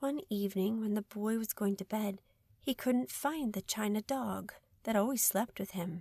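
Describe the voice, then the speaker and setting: A woman with an American accent has an ordinary speaking voice, fairly high in pitch with ordinary pitch variation. The recording is very clean, with a silent background. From United States. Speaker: audiobook narrator. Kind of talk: children's audiobook reading. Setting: studio.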